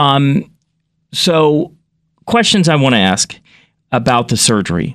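On a very clean recording with a silent background, a man talks at a very slow pace, his fairly high pitch moving in very wide swings. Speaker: podcast host. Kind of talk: interview.

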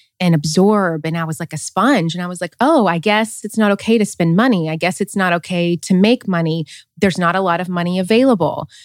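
Fairly quick speech in a Southern US accent with hardly any pauses, ordinary pitch variation, a dry, close sound with no echo, and a very clean recording over a silent background. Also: woman, medium pitch for a woman. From US South, small-town Tennessee. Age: 30s. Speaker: author and podcaster. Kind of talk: interview.

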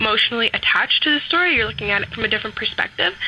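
Very fast speech over noticeable background noise. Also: woman. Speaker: caller. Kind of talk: casual opinion. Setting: phone call.

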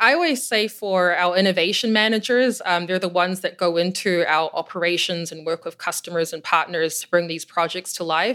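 Recorded very cleanly against a silent background, a woman with a fairly low pitch and a bright, sharp tone speaks with hardly any pauses. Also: ordinary pitch variation, fairly quick pace. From New Zealand. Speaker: head of innovation at a logistics company. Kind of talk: interview.

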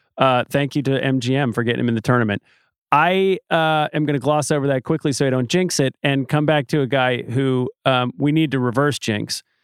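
A man's normal speaking voice at a medium pitch and fairly quick pace, with fairly even intonation and very even loudness. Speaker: podcast host. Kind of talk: casual chat.

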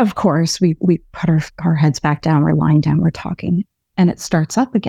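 A woman with a Canadian accent speaks at a fairly slow pace and a fairly low pitch, somewhat breathy, with a dark, mellow tone. Her loudness is very even, her pitch variation ordinary, and the sound is dry and close with no echo. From Canadian prairies (Manitoba). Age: 30s. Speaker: caller telling a ghost story. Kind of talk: storytelling.

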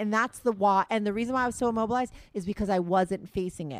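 A woman with a fairly high pitch talks very fast with ordinary pitch variation, recorded dry and close with no echo, very clean, with a silent background. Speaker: podcast host. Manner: fast talker.

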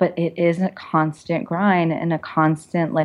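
In an unremarkable speaking voice with an American accent, the speaker talks at a fairly slow pace with fairly even intonation. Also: woman. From US, Bangladeshi American family. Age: 30s. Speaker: novelist and perfume business owner. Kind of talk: casual interview. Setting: studio.

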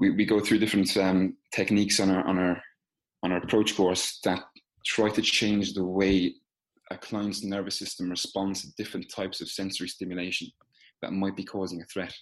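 With an Irish accent, a man talks at a fairly quick pace and a fairly low pitch. His intonation is monotone and flat, and the background is quiet. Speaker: physical therapist. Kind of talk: casual interview.

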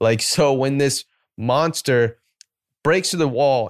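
A man with an American accent speaks in an unremarkable speaking voice, at a moderate pace and a medium pitch with ordinary pitch variation. The sound is dry and close with no echo, on a very clean recording with a silent background. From US South, Atlanta, Georgia. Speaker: podcast co-host. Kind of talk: casual chat.

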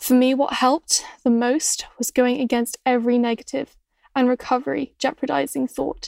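A woman's high voice with a dark, mellow tone at a moderate pace, dry and close with no echo. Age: 20s. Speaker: eating disorder recovery writer. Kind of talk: reading aloud.

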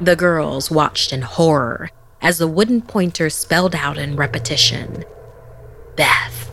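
Noticeable background noise sits under a woman speaking at a fairly slow pace. Her tone is theatrical and dramatic. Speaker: horror podcast host. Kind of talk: horror story narration. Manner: hushed, suspenseful, dramatic pacing; ominous, theatrical, building tension.

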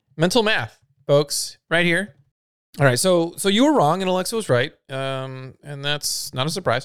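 On a very clean recording with a silent background, a man speaks with lively intonation at a high pitch and moderate pace. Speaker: podcast co-host. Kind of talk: casual chat.

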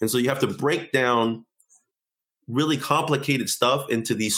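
Over a silent background in a very clean recording, a man uses an ordinary speaking voice. His medium pitch varies in an ordinary way at a fairly slow pace. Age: 30s. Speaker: software engineer and card game creator. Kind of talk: casual interview.

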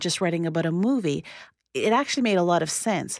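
On a very clean recording with a silent background, a woman with a normal speaking voice and medium pitch talks at a fairly quick pace with lively intonation. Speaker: parenting commentator. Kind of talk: radio interview.

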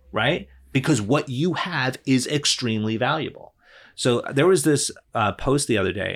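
A man speaks in a plain, everyday voice, using ordinary pitch variation at a moderate pace. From New Jersey. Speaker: attorney and business coach. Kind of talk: casual interview chat.

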